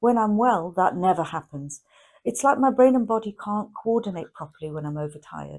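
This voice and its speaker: This woman has a plain, everyday voice, lively intonation and a moderate pace. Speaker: chronic illness educator. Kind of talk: educational talk to camera.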